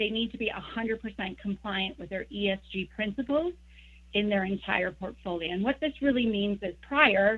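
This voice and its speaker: Here a woman speaks at a medium pitch. The variation in her pitch is ordinary. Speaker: exchange sales executive. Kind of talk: presentation. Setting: video call. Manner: fast.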